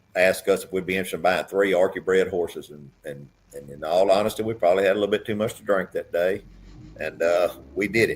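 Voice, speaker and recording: The speaker talks at a fairly quick pace with an Arkansas accent. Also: man. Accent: Southern US (Arkansas). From US South, southeast Arkansas. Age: 60s. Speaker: businessman and racehorse owner. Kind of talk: casual chat.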